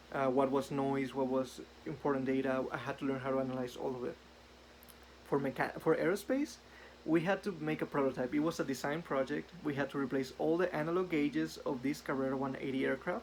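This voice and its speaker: In a Spanish accent, a man talks at a fairly quick pace with a fairly high pitch and ordinary pitch variation. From northern Mexico, Ciudad Juarez. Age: 20s. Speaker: engineer. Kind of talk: self-introduction video. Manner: some hesitations and fillers.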